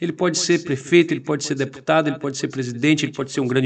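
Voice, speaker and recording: Very fast speech from a man with a fairly high pitch and ordinary pitch variation. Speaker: radio host and political candidate. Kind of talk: interview, campaign appeal.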